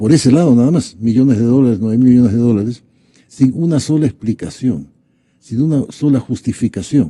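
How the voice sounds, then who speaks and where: At a fairly quick pace, a man with a dark, mellow tone speaks at medium pitch with ordinary pitch variation. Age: 70s. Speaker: economist. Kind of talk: political talk show discussion.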